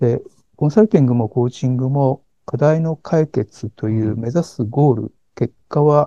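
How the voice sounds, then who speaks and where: With a dark, mellow tone and ordinary pitch variation, the voice moves at a moderate pace in a dry, close sound with no echo. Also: man, medium pitch for a man. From Niigata, Japan. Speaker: executive coach. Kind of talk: interview. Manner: frequent fillers and hesitations.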